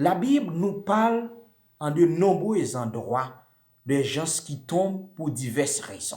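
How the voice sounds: Speaking slowly, a man with a fairly high pitch and a slightly mellow tone uses lively intonation.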